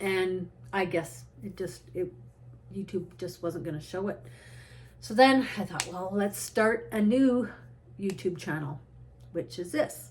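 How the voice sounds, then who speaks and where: With vocal fry and lively intonation, a woman talks at a fairly slow pace, leaving long, frequent pauses. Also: medium pitch for a woman. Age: 60s. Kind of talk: casual talk to camera. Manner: rambling, tangential.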